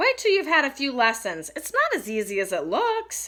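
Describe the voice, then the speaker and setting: A put-on character voice, female-sounding, high-pitched for a woman, at a moderate pace. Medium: read story.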